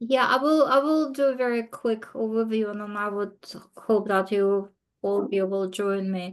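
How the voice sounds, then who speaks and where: Using a non-native accent, a woman speaks at a moderate pace in a fairly high pitch with ordinary pitch variation. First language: not English. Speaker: committee member. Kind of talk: committee meeting discussion. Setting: video call.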